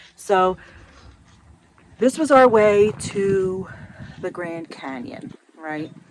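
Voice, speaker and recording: Speech with an American accent, noticeable background noise underneath. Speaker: RV travel vlogger. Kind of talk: casual vlog. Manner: soft-spoken.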